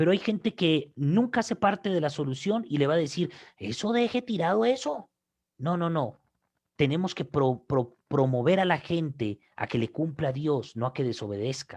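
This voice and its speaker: Against a quiet background, a man with a fairly high voice speaks at a moderate pace, his pitch swinging very widely. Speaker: pastor. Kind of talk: sermon. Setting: online broadcast. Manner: repetitive, emphatic.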